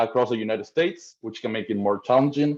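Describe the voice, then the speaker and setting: In an Argentine accent, a man with a medium pitch speaks at a very fast pace. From Argentina, Buenos Aires. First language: Spanish. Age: 30s. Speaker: rental management company owner. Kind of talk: webinar presentation. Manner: halting, repeats words.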